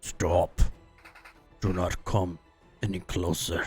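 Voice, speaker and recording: Faint music plays behind a man who uses a put-on character voice, very deep and low in pitch, at a very slow pace. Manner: commanding, warning.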